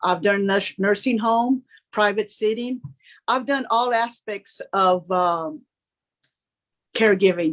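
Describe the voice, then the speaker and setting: With an American accent, a woman speaks at a very slow pace, with long, frequent pauses. Her pitch is fairly high, with ordinary variation. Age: 60s. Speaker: home care worker. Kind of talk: panel discussion.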